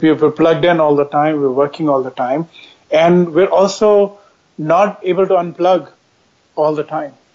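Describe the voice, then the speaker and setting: Ordinary pitch variation accompanies speech delivered at a moderate pace. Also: man. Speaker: expert guest on future of work. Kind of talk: measured interview conversation, thoughtful and explanatory. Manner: reflective, hesitant with fillers.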